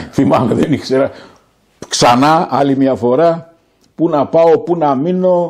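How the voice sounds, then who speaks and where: A man talks at a very slow pace, leaving long, frequent pauses. His fairly high voice has ordinary pitch variation and very even loudness. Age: 70s. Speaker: political activist. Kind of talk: interview.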